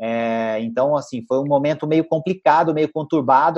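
Against a quiet background, a man has an ordinary speaking voice with a fairly high pitch. He talks at a fairly quick pace with fairly even intonation. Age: 40s. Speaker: financial educator and author. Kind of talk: interview chat.

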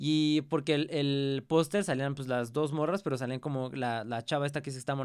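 In a Mexican accent, a man talks at a fairly quick pace. His intonation stays fairly even. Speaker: podcast host. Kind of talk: casual chat. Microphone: new pop filter on microphone.

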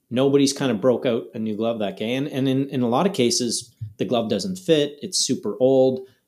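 Music plays in the background as a man of medium pitch talks at a moderate pace in a Canadian accent with ordinary pitch variation. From Canada, Ottawa area. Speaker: golf glove company co-founder. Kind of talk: casual chat.

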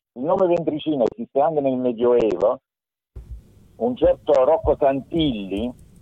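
Music plays in the background as a man with a fairly high pitch and lively intonation speaks at a moderate pace. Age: 60s. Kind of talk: explanatory discussion, slightly heated. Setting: phone or video call.

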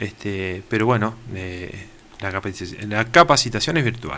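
Noticeable noise sits in the background while the words come at a moderate speed. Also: man. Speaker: fire brigade chief. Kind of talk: radio interview.

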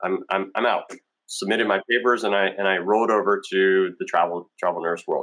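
Here is a man with an American accent and an ordinary speaking voice, fairly low in pitch with fairly even intonation. He moves at a fairly quick pace, and his loudness is very even. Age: 40s. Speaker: travel nurse, navy veteran. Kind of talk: interview.

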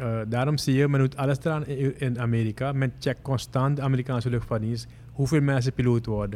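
Very fast and fairly even in intonation, a man speaks at a medium pitch. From Suriname (Moengo). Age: 50s. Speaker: airline pilot. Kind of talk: interview.

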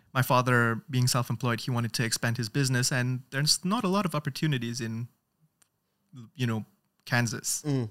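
In a dry, close recording with no echo and a silent background, a man with an unremarkable speaking voice talks at a fairly quick pace, at a medium pitch with ordinary pitch variation. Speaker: TikTok creator. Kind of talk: casual chat. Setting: studio.

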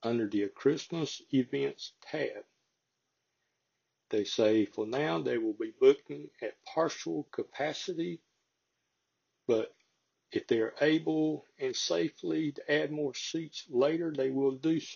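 Very slowly and with long, frequent pauses, a man speaks in a strong Southern US accent. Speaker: local farming podcast host. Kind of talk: casual chat; reading aloud. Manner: folksy, conversational.

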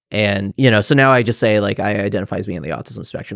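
Using a fairly low pitch, fairly even intonation and vocal fry, a man talks at a very fast pace in a dry, close sound with no echo. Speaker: PhD student in psychology. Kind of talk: casual interview.

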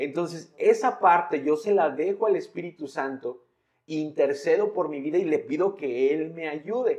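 Talking rather slowly, a man uses a high voice whose pitch moves in a normal way. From Mexico, San Luis Potosí. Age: 20s. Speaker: pastor. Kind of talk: casual chat.

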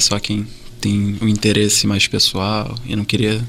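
With noticeable background noise, a man with a fairly low pitch speaks at a very slow pace. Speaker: podcast host, medical student. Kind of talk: casual interview.

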